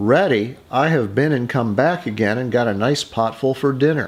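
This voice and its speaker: Medium-pitched, moderately paced speech from a man in a put-on character voice. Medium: read story. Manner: bright, plucky.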